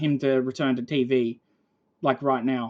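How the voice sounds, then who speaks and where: A woman speaks at a very deep, low pitch. Her intonation is monotone and flat, and her pace fairly slow. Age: 20s. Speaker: gaming streamer. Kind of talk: casual chat. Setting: live stream. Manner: cadence like a New Zealander.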